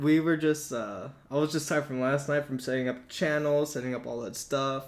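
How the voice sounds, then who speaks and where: A fairly quick man's voice, fairly high in pitch, with ordinary pitch variation. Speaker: podcast co-host, military service member. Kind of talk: casual chat. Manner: loud.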